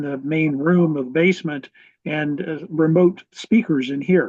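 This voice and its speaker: With fairly even intonation, a man speaks at a moderate pace in a fairly high pitch. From Michigan. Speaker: retired retail product manager, ham radio operator. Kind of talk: casual chat.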